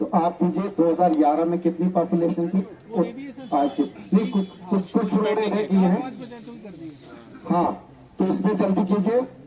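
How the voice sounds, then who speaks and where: Noticeable background noise sits behind a man's voice. He speaks at a high pitch with ordinary pitch variation. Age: 50s. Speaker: politician. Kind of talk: public address.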